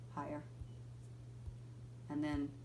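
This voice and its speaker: Here a woman talks. Her voice carries audible room echo. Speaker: physical therapist. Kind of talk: tutorial. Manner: casual, informal.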